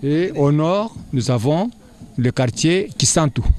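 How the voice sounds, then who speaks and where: Here a man talks at a very slow pace. His fairly high voice has lively intonation. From DR Congo (Kasai). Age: 60s. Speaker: school director. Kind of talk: interview. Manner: halting.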